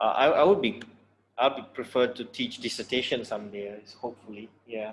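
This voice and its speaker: In an ordinary speaking voice, a man talks at a fairly quick pace and medium pitch. His ordinary pitch variation comes with big swings in loudness. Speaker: university lecturer. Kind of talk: lecture.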